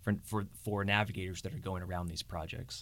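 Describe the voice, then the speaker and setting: A man's ordinary speaking voice, fairly quick in pace, with fairly even intonation. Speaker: Corps of Engineers program manager. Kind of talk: interview conversation, informational.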